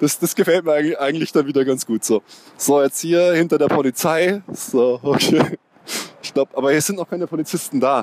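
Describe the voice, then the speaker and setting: The man's voice has a dry, close sound with no echo, though background noise is noticeable. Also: fairly high pitch for a man, ordinary pitch variation, fairly quick pace. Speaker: football podcast host. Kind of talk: casual chat. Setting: stadium.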